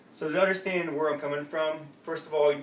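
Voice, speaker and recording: A man is talking with noticeable background noise. Audible room echo surrounds his voice. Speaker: student, navy veteran. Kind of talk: class speech. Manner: fast.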